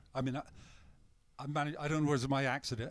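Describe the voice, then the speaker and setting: A man speaks in a British accent at a medium pitch. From England. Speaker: retired long-haul truck driver. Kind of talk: casual chat.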